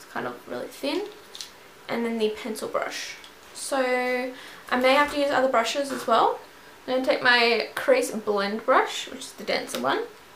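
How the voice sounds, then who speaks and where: A woman with a high pitch speaks at a moderate pace, using ordinary pitch variation. Light background noise and audible room echo come through. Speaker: beauty vlogger. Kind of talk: tutorial. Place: home room. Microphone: camera far.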